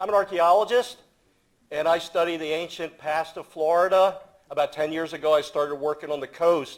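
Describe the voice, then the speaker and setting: This man speaks at a moderate pace with a fairly high pitch and fairly even intonation. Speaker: archaeologist. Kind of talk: panel talk. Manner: loud.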